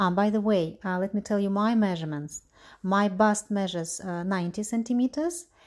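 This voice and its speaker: The recording is very clean, with a silent background. A woman with a Russian accent speaks at a moderate pace, her medium pitch varying in an ordinary way. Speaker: knitwear designer. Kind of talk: tutorial. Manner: halting.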